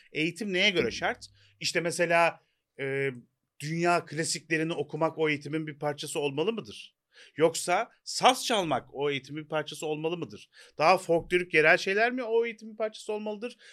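Lively intonation marks this man's fairly quick speech. His pitch is high and his tone bright and sharp. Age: 40s. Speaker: podcast co-host. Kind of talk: casual chat. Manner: hesitant with fillers.

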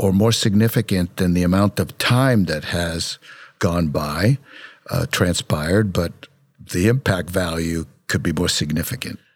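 In a very clean recording with a silent background, a man with an American accent uses an ordinary speaking voice, lively intonation and a fairly slow pace. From Brooklyn, New York. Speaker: dentist and founder of a dental education center.

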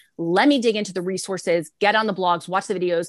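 Against a quiet background, a woman with an American accent speaks at a very fast pace. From Texas, San Antonio. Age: 30s. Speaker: ministry founder and author. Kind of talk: interview.

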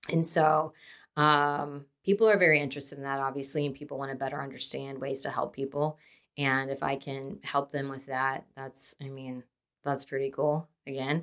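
A woman's very deep, low voice with a Midwestern American accent, bright and sharp in tone, at a moderate pace with big swings in loudness, in a very clean recording with a silent background. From Dayton, Ohio. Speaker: podcast host, nonprofit director. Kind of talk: casual solo podcast intro. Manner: chatty, with many fillers.

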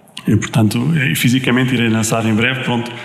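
There is audible room echo and noticeable background noise. A man at medium pitch talks at a fairly quick pace with fairly even intonation. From Portugal, Viseu. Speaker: singer-songwriter. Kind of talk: radio interview. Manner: halting.

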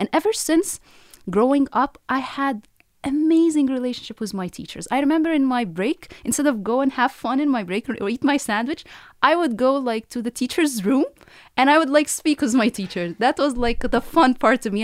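A high-pitched woman with an Arabic accent, lively intonation and a fairly quick pace, on a very clean recording with a silent background. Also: dry, close sound with no echo. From Egypt, Cairo. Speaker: professor. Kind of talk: interview.

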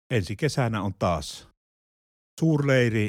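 On a very clean recording with a silent background, a man talks in a somewhat breathy way. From Finland, Pieksämäki. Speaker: retired pastor. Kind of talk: casual chat. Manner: halting.

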